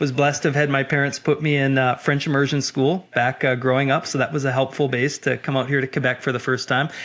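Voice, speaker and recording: A man's very fast, fairly high voice in a Canadian accent, monotone and flat, with very even loudness and hardly any pauses. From Canada, Winnipeg. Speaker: sales manager. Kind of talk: podcast interview. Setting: video call.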